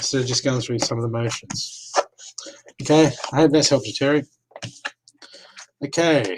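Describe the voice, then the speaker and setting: With an Australian accent, a man at a fairly high pitch for a man keeps his intonation fairly even, talking at a moderate pace with long, frequent pauses. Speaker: psychic reader. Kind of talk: live-stream psychic reading. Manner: casual, chatty.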